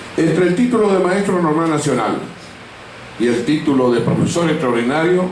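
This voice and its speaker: Lively intonation is heard through noticeable background noise and audible room echo. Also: man. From Argentina, Corrientes. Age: 70s. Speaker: author and law professor. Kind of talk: interview with students, talk. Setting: school library with student audience. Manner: formal.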